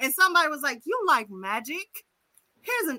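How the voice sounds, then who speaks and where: A woman with a high pitch and a bright, sharp tone uses a raised, projected voice, speaking at a fairly quick pace in an animated tone with very wide pitch swings. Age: 30s. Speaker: podcast co-host. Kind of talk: casual chat.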